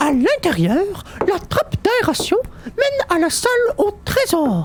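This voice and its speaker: A man's put-on character voice, extremely high-pitched with very wide pitch swings, at a fairly slow pace over clear background noise. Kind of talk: audio drama.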